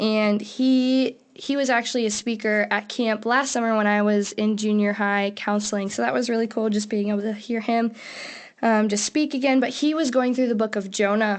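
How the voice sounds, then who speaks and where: A woman with a normal speaking voice talks at a moderate pace, her fairly high pitch paired with fairly even intonation and very even loudness. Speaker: podcast co-host. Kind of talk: casual chat.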